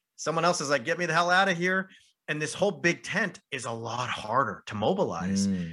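Against a quiet background, a man with an American accent and a bright, sharp tone talks at a fairly quick pace with very wide pitch swings. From southern California. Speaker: professor and podcast co-host. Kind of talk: casual interview conversation.

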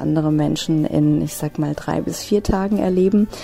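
Moderate tempo and ordinary pitch movement from a female speaker, set against noticeable background noise. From Hesse, near Frankfurt am Main. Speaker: travel blogger and freelance online marketer. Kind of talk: interview.

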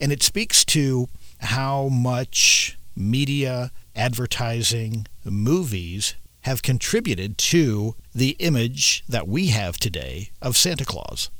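A man's medium-pitched voice at a very slow pace, with lively intonation. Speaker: radio host.

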